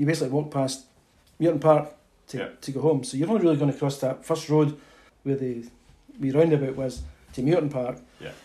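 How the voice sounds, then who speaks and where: With a Perthshire accent, a man talks at a very fast pace and a fairly high pitch, somewhat breathy and fairly even in intonation, broken by long, frequent pauses. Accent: Scottish (Perthshire). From Scotland, Perth (Muirton). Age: 60s. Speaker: local resident sharing childhood memories. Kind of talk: casual chat.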